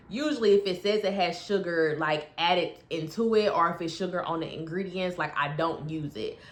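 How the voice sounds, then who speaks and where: At a moderate pace, a woman speaks in a fairly low pitch with an ordinary speaking voice. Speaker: health and weight loss coach. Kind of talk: casual vlog update. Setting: bedroom at home. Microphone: echoey room, no proper mic.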